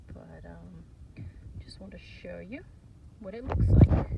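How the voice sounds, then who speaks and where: Noticeable background noise behind a woman's very slow speech. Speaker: farmer and educator. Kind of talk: tutorial. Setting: outdoors.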